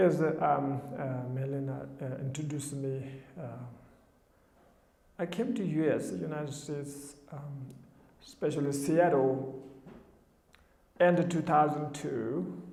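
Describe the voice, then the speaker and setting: Speaking with a Tibetan accent at a fairly slow pace, the voice leaves long, frequent pauses and carries audible room echo. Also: man, fairly high pitch for a man, ordinary pitch variation. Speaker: Buddhist teacher. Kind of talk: dharma talk. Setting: television studio. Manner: halting.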